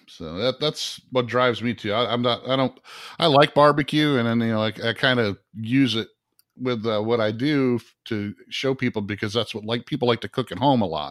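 A plain, everyday voice moves at a moderate pace with ordinary pitch variation. The recording is very clean, dry and close, with a silent background and no echo. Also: man, medium pitch for a man. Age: 50s. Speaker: podcast host. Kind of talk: casual chat.

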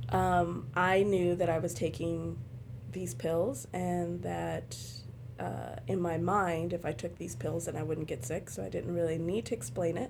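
In audible room echo, a woman with an American accent speaks at a fairly slow pace. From Los Angeles. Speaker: patient blogger, mother. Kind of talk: casual chat. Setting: hotel room.

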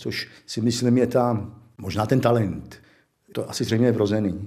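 Here a man talks at a moderate pace in a medium pitch. His tone is dark and mellow, and his intonation fairly even. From Czech Republic, South Bohemia (České Budějovice). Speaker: illustrator. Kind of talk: life-story interview, reminiscing.

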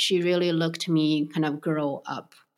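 A woman with a Chinese accent, fairly low pitch and fairly slow pace, on a very clean recording with a silent background. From Beijing, China. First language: Mandarin Chinese. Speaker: restaurant co-founder. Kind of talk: interview. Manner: hesitant, with frequent fillers.

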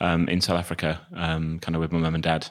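On a very clean recording with a silent background, a man with a southern English accent speaks at a very deep, low pitch. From England, Northampton. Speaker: charity chief executive. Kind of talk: interview conversation. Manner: hesitant, many fillers.

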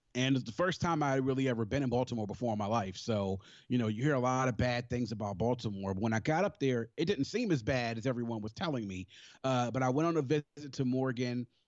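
Talking very fast, a man with an American accent uses ordinary pitch variation. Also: medium pitch for a man. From Maryland, Prince George's County (DC area). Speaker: HBCU alumnus. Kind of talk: casual interview.

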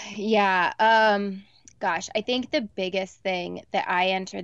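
Against a quiet background, a woman in a normal speaking voice talks at a fairly slow pace, her medium pitch showing ordinary variation. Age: 30s. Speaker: reality TV personality and blogger. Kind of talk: casual chat. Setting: video call from her closet.

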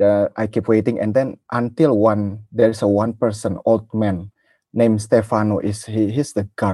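A man with an Indonesian accent, fairly low in pitch, dark and mellow in tone, fairly even in intonation, at a moderate pace, in a dry, close sound with no echo over a quiet background. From Indonesia (Jakarta). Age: 30s. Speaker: football fan. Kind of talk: casual interview. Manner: halting.

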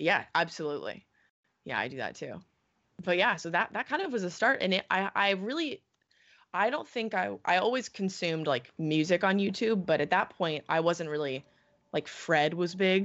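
A woman with an American accent speaks at a moderate pace in a normal speaking voice, her intonation lively. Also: medium pitch for a woman. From California. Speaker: watch video channel co-founder. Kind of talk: interview.

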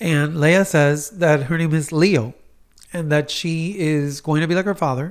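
An unremarkable speaking voice belongs to a man with fairly high pitch and fairly even intonation. He goes at a fairly slow pace in a very clean recording with a silent background. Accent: American. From Miami, US. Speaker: clinical psychologist. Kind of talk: advice on a talk podcast.

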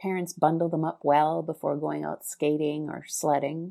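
Very cleanly recorded over a silent background, a woman with a Canadian accent speaks at a moderate pace in a dark, mellow tone. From Winnipeg, Canada. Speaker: travel blogger. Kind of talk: recorded contribution, read-style.

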